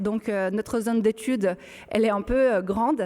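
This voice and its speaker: Noticeable background noise sits behind this recording. A woman with a Brazilian accent speaks at a moderate pace with a fairly high pitch. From Brazil, São Paulo countryside. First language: Portuguese (speaking French). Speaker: archaeologist. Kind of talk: public panel discussion. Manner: halting, many hesitations.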